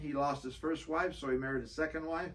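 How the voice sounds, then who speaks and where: A man with a fairly high pitch and a bright, sharp tone is heard with audible room echo. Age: 70s. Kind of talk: interview.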